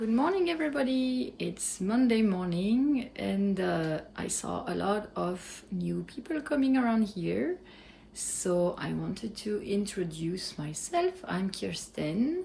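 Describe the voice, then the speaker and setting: Here is a woman with a French accent. She speaks at a very slow pace. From France. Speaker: cheesemaker, small business owner. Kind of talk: vlog update.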